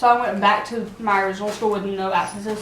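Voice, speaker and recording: A woman's medium-pitched voice is heard with audible room echo and noticeable background noise. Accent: American. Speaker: vlogger. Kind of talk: casual chat. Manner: animated.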